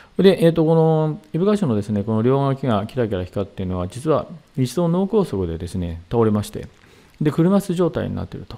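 Very wide pitch swings mark this man's dark, mellow tone as he talks at a fairly quick pace. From Saitama, Japan. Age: 60s. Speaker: seminar leader, hypnotherapy and meditation teacher. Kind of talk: lecture. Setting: online video seminar. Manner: formal, polite, with many fillers. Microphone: headset.

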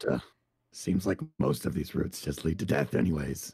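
A man performs a put-on character voice at a very deep, low pitch. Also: moderate pace.

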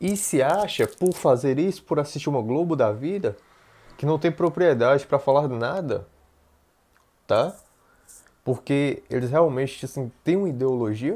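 Long, frequent pauses break up a man's fairly slow speech, which has lively intonation and a dark, mellow tone. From Brazil, Bahia. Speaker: YouTuber. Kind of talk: political commentary vlog. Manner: halting, many fillers. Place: home room. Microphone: earbuds.

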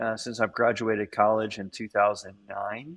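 Against a quiet background, a man speaks in an ordinary speaking voice at a fairly low pitch. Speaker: campus ministry staff. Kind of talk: casual interview. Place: hall. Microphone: phone near.

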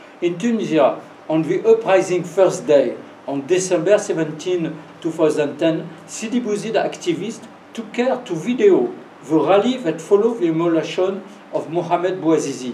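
A man with a French accent speaks at a moderate pace in a high voice, with light background noise and audible room echo. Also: ordinary pitch variation. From France. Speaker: professor giving a lecture. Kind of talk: lecture with Q&A. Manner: halting, hesitant English. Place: classroom. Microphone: camera far.

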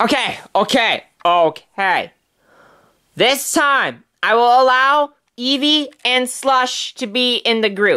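A man's put-on character voice with extremely high pitch, a bright, sharp yet clear, smooth tone, lively intonation and a slow pace

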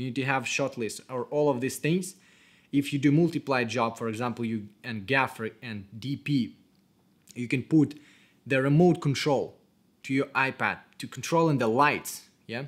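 With a non-native accent, a man talks at a moderate pace and with ordinary pitch variation against a quiet background. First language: not English. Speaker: cinematographer. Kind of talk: tutorial. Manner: casual.

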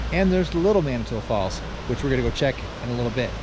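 In a dry sound with no echo, a man talks very fast while noticeable background noise runs behind him. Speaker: travel vlogger. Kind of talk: casual vlog chat. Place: forest. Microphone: phone near.

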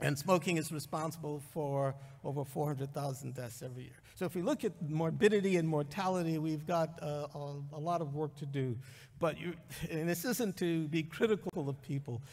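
Somewhat breathy, a man talks at a moderate pace with ordinary pitch variation against a quiet background. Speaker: conference speaker. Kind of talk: lecture. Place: hall. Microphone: podium.

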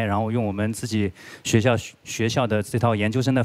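A man's fairly even intonation carries along at a moderate pace. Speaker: guest lecturer. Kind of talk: lecture. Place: hall. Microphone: handheld.

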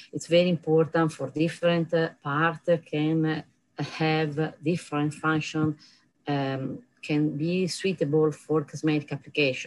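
In an Italian accent, a woman talks at a fairly slow pace with a very deep, low pitch and a monotone, flat intonation. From Italy. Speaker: professor. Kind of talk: conference lecture. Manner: halting. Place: office. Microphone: webcam.

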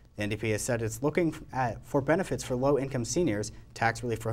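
Very fast male speech with vocal fry and ordinary pitch variation. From Canada. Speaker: student news anchor. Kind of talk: formal newsreading of political headlines. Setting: studio. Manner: crisp, composed anchor delivery. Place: studio. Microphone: lapel.

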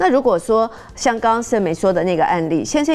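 A woman's pitch swings very widely while she keeps a moderate pace. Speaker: counselor. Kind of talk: TV talk show discussion. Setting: studio.

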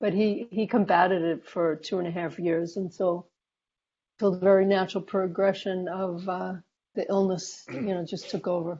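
A woman speaks at a moderate pace with fairly even intonation, leaving long, frequent pauses. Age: 60s. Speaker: hospice nurse. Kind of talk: interview. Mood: calm, reflective. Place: home room. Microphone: earbuds.

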